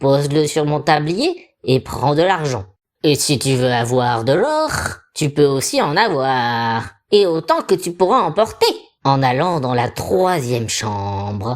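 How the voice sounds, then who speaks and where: The speaker uses a put-on character voice in a low-to-middle pitch at a fairly slow pace. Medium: read story. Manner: wheedling and secretive.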